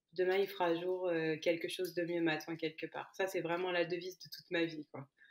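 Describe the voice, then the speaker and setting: A woman talks fairly quickly in a fairly low voice with monotone, flat intonation. Her loudness swings widely. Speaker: podcast guest, immigrant. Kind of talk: personal testimony interview.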